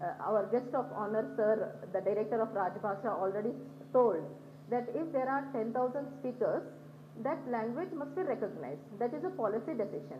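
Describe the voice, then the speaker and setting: A woman speaks at a moderate pace in a fairly high pitch, with very wide pitch swings. Audible room echo surrounds her voice. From Telangana, India. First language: Banjara. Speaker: conference speaker. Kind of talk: conference talk with slides.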